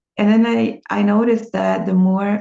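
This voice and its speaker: A woman with a Brazilian accent, speaking at a very slow pace. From Brazil, small town. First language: Portuguese. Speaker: language teacher and vlogger. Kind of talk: personal vlog monologue. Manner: hesitant, many fillers.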